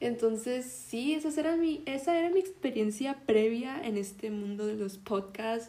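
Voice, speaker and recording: This woman's fairly high voice has a dark, mellow tone and lively intonation. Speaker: podcast host. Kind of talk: casual monologue; history storytelling. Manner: halting.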